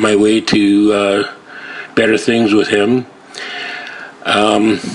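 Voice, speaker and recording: A man with a western Canadian accent talks very slowly in a fairly low, flat, monotone voice. Noticeable background noise runs underneath. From western Canada (Surrey, British Columbia). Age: 60s. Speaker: viewer sending a video message. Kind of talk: personal video message and testimony. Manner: halting, many filler words.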